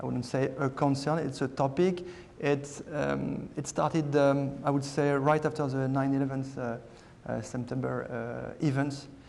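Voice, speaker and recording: In a French accent, a man with a fairly high pitch speaks at a fairly slow pace in a monotone, flat intonation, with noticeable background noise and audible room echo. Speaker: aircraft maker security director. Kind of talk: panel presentation. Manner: halting, many fillers.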